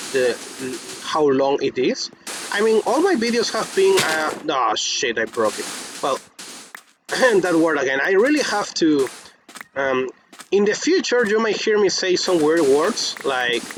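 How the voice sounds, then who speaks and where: Fairly slow speech in a non-native accent, with long, frequent pauses and noticeable background noise. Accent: non-native English, pronunciation unsure. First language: Spanish. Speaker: gaming youtuber. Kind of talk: casual gameplay commentary. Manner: halting, many restarts and fillers.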